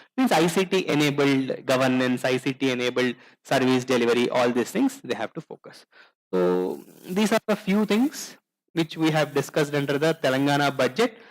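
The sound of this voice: The speaker moves at a moderate pace with lively intonation. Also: man, medium pitch for a man.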